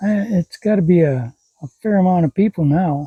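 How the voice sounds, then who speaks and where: A man's high-pitched voice, dark and mellow in tone, carries lively intonation in a dry, close sound with no echo. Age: 60s. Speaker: vlogger, grandparent raising grandchildren. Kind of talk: casual personal vlog. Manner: halting, with self-corrections.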